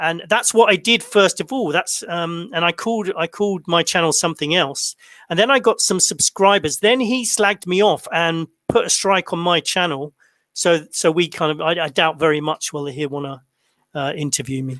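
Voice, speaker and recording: A man's bright, sharp, high-pitched voice with a British accent, ordinary pitch variation and a moderate pace, dry and close with no echo. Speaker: online channel host.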